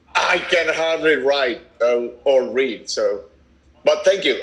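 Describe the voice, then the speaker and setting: A man talks with a Venezuelan accent. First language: Spanish. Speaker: activist parent. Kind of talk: casual chat. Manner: halting.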